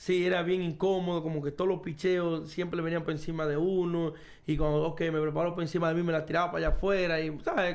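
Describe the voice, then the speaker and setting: A man talks very fast in a high pitch, with audible room echo. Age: 30s. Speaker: professional baseball player. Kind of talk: casual chat. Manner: animated.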